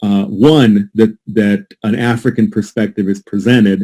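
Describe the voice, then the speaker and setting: At a fairly slow pace, a man speaks at medium pitch. His tone is dark and mellow. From United States. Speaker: Jesuit priest and legal scholar. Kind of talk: academic conference presentation. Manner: halting, with repetitions.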